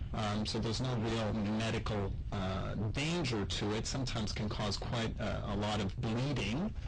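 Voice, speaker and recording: A man with a medium pitch talks at a moderate pace with ordinary pitch variation, with audible room echo and noticeable background noise. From Quebec, Montreal. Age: 40s. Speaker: gynecologic surgeon. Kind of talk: radio interview. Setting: radio studio. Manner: hesitant, many fillers.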